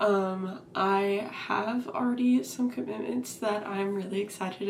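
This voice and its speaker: With fairly even intonation, this woman talks over noticeable background noise. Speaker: vlogger. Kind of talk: casual chat.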